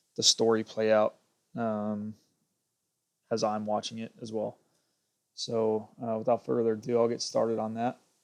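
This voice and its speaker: The voice is soft-spoken and monotone, with flat intonation, a moderate pace, and long, frequent pauses. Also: man, medium pitch for a man. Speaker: gaming streamer. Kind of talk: gameplay livestream commentary. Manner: hesitant, many fillers. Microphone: cheap plug-in earpiece mic, not clear.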